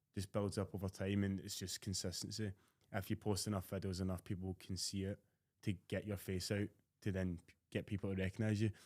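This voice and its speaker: Someone with a Scottish accent speaks at a fairly quick pace in a monotone, flat intonation. The sound is dry and close, with no echo. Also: man, fairly low pitch for a man. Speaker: fitness content creator. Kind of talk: casual chat.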